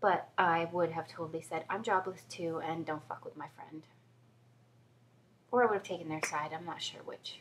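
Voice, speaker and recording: A woman talks at a fairly quick pace. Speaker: video blogger. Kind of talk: casual vlog monologue. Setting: home, after a shower.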